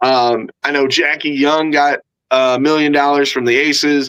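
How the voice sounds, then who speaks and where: The voice has an animated, bright and sharp tone. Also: man. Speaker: sports podcast host. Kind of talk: casual chat.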